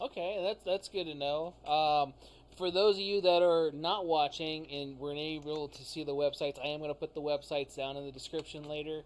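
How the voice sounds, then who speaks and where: A man with an ordinary speaking voice talks at a fairly quick pace in a fairly high pitch, his intonation fairly even and his loudness swinging widely. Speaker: podcast host and gun shop owner. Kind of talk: casual podcast interview.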